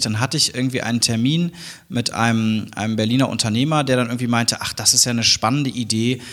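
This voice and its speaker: With noticeable background noise behind him, a man talks at a fairly quick pace, medium in pitch and fairly even in intonation. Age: 30s. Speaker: university founder and chancellor. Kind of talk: interview.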